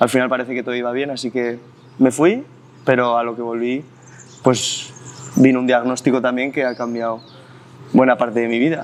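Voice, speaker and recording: The delivery is fairly quick and flat in a monotone, broken by long, frequent pauses. Noticeable background noise runs under it. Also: man, medium pitch for a man. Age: 20s. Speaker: special education teacher. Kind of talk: interview. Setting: outdoors in a park.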